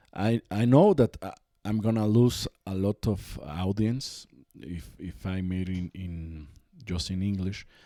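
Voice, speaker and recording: A dark, mellow voice with a Mexican accent speaks at a very slow pace with ordinary pitch variation and big swings in loudness. The recording is very clean with a silent background and a dry, close sound with no echo. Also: man, very deep, low pitch for a man. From Mexico. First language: Spanish. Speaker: podcast host. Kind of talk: casual chat. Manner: halting.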